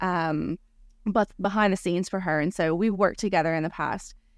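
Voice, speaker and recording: A plain, everyday voice from a woman with an American accent, medium in pitch with ordinary pitch variation, against a quiet background. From United States. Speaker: family filmmaker and awards video director. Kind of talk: interview.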